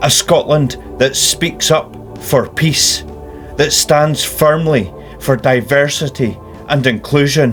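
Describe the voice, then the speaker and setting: Over music in the background, a man speaks at a very slow pace with fairly even intonation and very even loudness. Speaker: political activist. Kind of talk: personal spoken statement.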